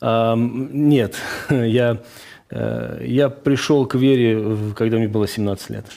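This man talks at a very slow pace with medium pitch and a dark, mellow tone. His intonation stays fairly even. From Azerbaijan, Baku. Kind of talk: radio interview, testimony.

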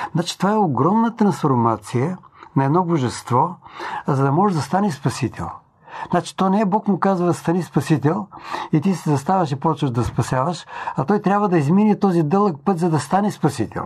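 A man speaks at a high pitch with lively intonation. His loudness is very even. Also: moderate pace. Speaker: preacher. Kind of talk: sermon-style talk.

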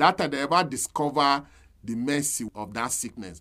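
At a fairly slow pace, a man with a medium pitch speaks in very wide pitch swings. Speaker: pastor. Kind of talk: sermon.

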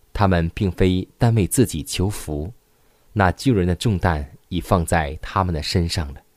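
Dry and close with no echo, this very clean recording has a silent background. A man speaks at a fairly slow pace in a very deep, low pitch with ordinary pitch variation. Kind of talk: devotional reading aloud.

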